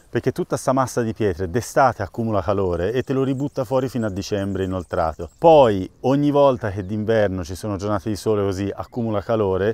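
The man's voice has a dark, mellow tone and ordinary pitch variation, recorded with a dry sound and no echo. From grew up abroad in Oman as a child. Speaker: farmer. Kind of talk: guided farm tour. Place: open country.

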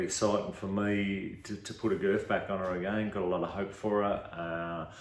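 With an Australian accent, a man speaks at a moderate pace in a fairly low pitch and a monotone, flat intonation, with audible room echo. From Victoria, Australia. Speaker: racehorse trainer. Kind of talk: casual promo interview. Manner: hesitant, halting, repeating words. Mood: calm, hopeful. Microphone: video call.

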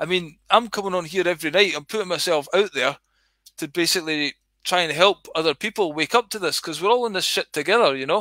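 A man's high, bright, sharp voice with a Scottish accent, very fast pace, ordinary pitch variation, a dry sound with no echo and a quiet background. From Scotland. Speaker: livestreamer. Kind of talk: casual rambling livestream. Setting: online livestream. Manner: rambling, casual, sweary. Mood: earnest, exhorting. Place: home room. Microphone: headset.

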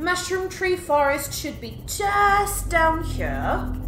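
With a Welsh accent, a woman speaks at a very slow pace over light background noise and audible room echo. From Wales. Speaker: gaming YouTuber. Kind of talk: let's play commentary. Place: home room. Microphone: headset.

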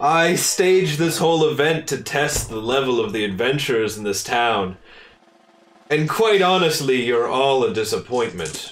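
A man's put-on character voice, medium in pitch, at a moderate pace. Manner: smug, condescending.

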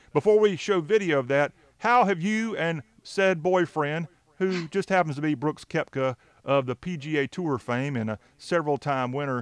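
The sound is dry with no echo, and the intonation is lively. The speaker talks at a moderate pace with an American accent. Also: man. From US South. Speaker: show host. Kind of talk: casual interview. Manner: jokey, laughs often. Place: studio. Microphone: studio mic.

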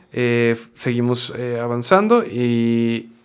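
Against a quiet background, a man talks at a medium pitch. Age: 30s. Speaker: actor, voice actor and former band singer; actor, voice actor. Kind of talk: interview conversation. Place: studio. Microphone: studio mic.

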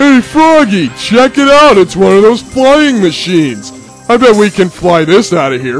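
Doing a put-on character voice, a man speaks at a moderate pace and a high pitch with very wide pitch swings, clear music playing in the background. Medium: fan dub. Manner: clingy, affectionate toward frog friend; slow, dopey, cheerfully oblivious.

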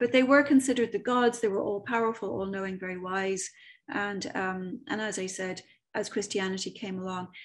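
Ordinary pitch variation and a fairly quick pace from a woman. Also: quiet background. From Ireland, Dublin. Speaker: medium and author giving a talk; presenter. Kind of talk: online presentation with slides; lecture. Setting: video call. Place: home room. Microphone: webcam.

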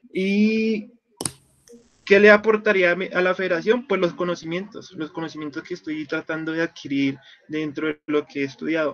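The man's pitch is high, varying in an ordinary way as he talks at a moderate pace. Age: 20s. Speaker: student. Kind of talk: mock job interview. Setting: video call. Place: home room. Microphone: video call.

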